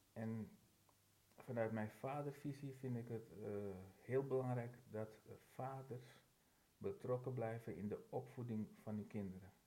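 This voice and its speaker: Somewhat breathy and dark, mellow in tone, a man speaks at a medium pitch with ordinary pitch variation, a fairly slow pace and long, frequent pauses. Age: 50s. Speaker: firefighter. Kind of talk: casual chat.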